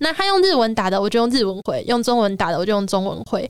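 Very wide pitch swings in a woman's fairly high voice. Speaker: illustrator. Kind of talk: casual chat.

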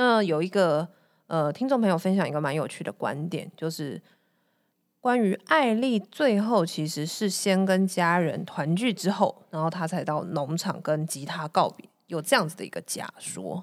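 Fairly low-pitched, an unremarkable speaking voice from a woman, with lively intonation at a moderate pace, on a very clean recording with a silent background. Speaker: podcast co-host. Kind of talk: casual chat.

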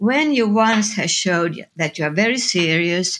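A woman's fairly high voice in a Finnish accent, at a fairly slow pace with lively intonation. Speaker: designer and photographer. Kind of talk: interview. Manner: halting.

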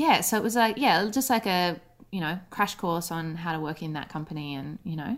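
A woman with an Australian accent and a fairly low pitch, lively intonation and big swings in loudness, on a very clean recording with a silent background. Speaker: writer and actor. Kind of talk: casual radio interview. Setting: radio interview by call.

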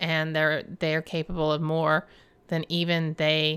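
A woman speaks at a fairly slow pace with a Southern US accent and a fairly low pitch. Her tone is bright and sharp, and the recording is very clean with a silent background. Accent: Southern American. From US South. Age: 50s. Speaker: podcast host. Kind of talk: casual monologue. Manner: laughs often.

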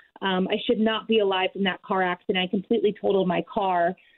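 A woman with a normal speaking voice at a medium pitch, a fairly quick pace and fairly even intonation. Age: 30s. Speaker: weight loss success story guest. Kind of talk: testimony.

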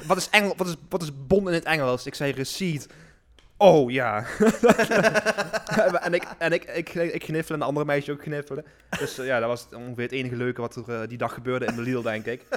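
Fairly high male voice with lively intonation at a fairly quick pace. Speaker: podcast host. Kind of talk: casual chat. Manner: halting, fillers.

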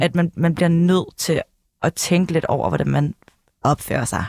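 A woman speaks at a fairly slow pace with vocal fry. The sound is dry and close, with no echo. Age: 20s. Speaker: former journalist, press officer. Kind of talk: casual chat. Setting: studio.

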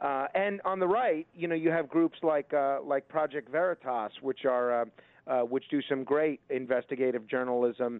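This man has an unremarkable speaking voice, a medium pitch and an American accent. He talks at a moderate pace with ordinary pitch variation and very even loudness. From New York. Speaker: radio host. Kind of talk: casual interview.

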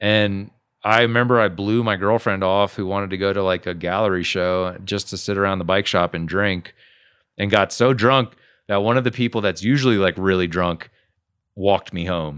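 A man talks at a moderate pace with an American accent, an unremarkable speaking voice, and fairly low pitch. His intonation stays fairly even. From US South. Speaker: podcast guest. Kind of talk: casual interview chat.

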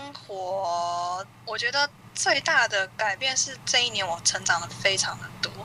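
A woman's very slow speech with lively intonation, over noticeable background noise. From Taiwan. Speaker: YouTuber and Japanese teacher. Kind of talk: casual interview. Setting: remote call.

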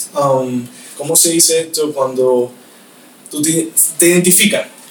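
A man speaks over noticeable background noise. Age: 20s. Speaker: magician. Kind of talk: casual interview. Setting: host's office.

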